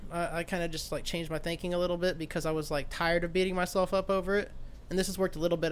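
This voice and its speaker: This man has an American accent and a high pitch. He talks at a very fast pace. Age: 20s. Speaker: podcast host. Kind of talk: casual chat.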